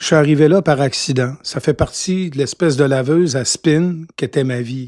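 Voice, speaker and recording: The voice is a man's, pitched fairly high. Its rise and fall is ordinary. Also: moderate pace. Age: 60s. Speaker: radio host. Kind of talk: interview. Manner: hesitant, many fillers.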